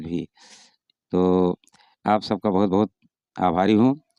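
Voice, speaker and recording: A man talks in a dark, mellow tone. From Uttar Pradesh, Sultanpur district. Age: 60s. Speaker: retired headmaster and folk singer. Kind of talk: interview.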